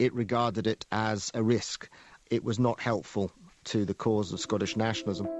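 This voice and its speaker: A man with a normal speaking voice at a fairly low pitch and a moderate pace, his intonation fairly even and his loudness very even. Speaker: cultural historian. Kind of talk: interview answer.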